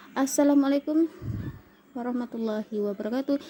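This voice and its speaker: A woman with ordinary pitch variation over noticeable background noise. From Kalimantan, Indonesia. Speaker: vlogger, housewife. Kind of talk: casual vlog storytelling. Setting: at home. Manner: halting, many fillers.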